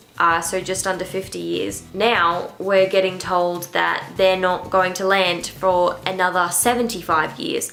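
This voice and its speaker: The speaker keeps a fairly slow pace with hardly any pauses and monotone, flat intonation. Audible room echo is present. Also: woman, medium pitch for a woman. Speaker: book vlogger. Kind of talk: casual book vlog chat. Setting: on her bed at home. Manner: quiet, late-night talk.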